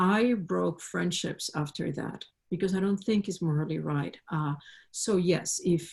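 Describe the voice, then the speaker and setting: In a very clean recording with a silent background, a woman with a non-native accent and a fairly low pitch speaks fairly slowly in a somewhat breathy voice with ordinary pitch variation. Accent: foreign accent, self-described. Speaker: panelist. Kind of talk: panel discussion.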